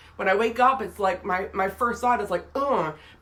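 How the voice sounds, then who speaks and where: A woman with a fairly high pitch and lively intonation is heard through noticeable background noise. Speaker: inspirational video blogger. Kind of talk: casual live talk to viewers. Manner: casual, hesitant with repetitions.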